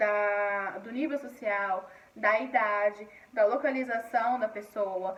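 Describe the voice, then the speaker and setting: A woman with a fairly high pitch talks very slowly with fairly even intonation. Her loudness swings widely over noticeable background noise. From Paraíba, northeastern Brazil. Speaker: schoolteacher. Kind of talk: recorded online lesson. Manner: halting, frequent repetitions and fillers.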